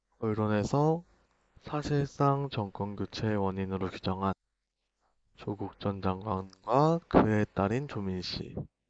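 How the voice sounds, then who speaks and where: Very slowly, a man delivers his words in a fairly low register. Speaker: YouTuber political commentator. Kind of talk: direct-to-camera monologue.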